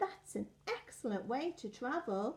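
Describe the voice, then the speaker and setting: Doing a put-on character voice, a woman speaks at a moderate pace with a high pitch and very wide pitch swings. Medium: read story. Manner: anxious.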